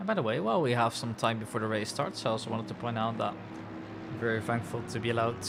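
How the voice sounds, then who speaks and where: Speaking fairly quickly in a medium pitch with fairly even intonation, a man with a Dutch accent is heard with audible room echo and noticeable background noise. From Netherlands. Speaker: sim racing commentator. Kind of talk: live commentary. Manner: soft-spoken.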